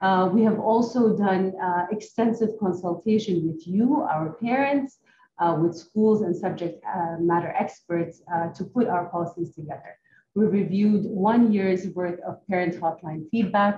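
Against noticeable background noise, a woman speaks fairly slowly with ordinary pitch variation. Her tone is dark and mellow and somewhat breathy. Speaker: presenter. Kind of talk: presentation. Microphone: video call.

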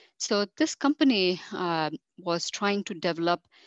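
A woman talks at a very slow pace. The background is quiet, and the sound is dry with no echo. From India, Mumbai. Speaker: microbiologist. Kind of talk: career talk monologue. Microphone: headset.

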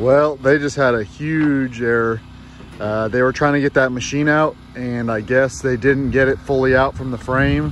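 With light background noise and a dry sound with no echo, a man speaks at a fairly slow pace with ordinary pitch variation. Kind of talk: casual vlog chat. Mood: concerned but calm, light laughs. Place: open country. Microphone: phone near.

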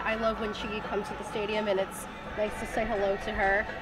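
Over clear background music, a woman speaks at a very fast pace. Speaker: sports interviewer, podcast host. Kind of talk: interview questions. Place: stadium.

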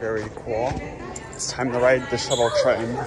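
Against crowd noise in the background, a man speaks at a moderate pace. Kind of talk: casual vlog chat. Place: station. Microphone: phone near.

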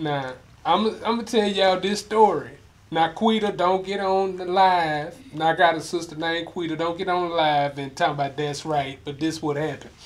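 With ordinary pitch variation, this man's high voice proceeds at a moderate pace. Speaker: online show host. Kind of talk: casual interview. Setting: studio. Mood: jokey, animated storytelling. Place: studio.

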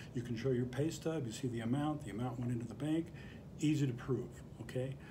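Noticeable background noise sits behind a man speaking with ordinary pitch variation. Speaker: bankruptcy attorney. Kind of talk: explainer to camera. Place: office. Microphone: phone near.

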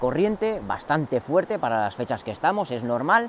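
A man's pitch swings very widely at a fairly quick pace, with light background noise and a dry sound with no echo. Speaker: fishing channel host. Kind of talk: tutorial. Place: waterside.

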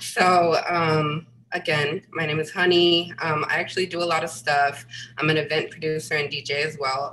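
With an American accent, a woman speaks at a very deep, low pitch in a monotone, flat intonation over light background noise. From New York. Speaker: photographer and visual artist; panelist. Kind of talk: panel presentation. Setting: video call. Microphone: webcam.

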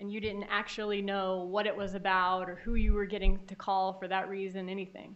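A woman at a fairly quick pace with hardly any pauses, monotone and flat in intonation, with big swings in loudness. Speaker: prosecutor. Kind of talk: courtroom cross-examination. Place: hall.

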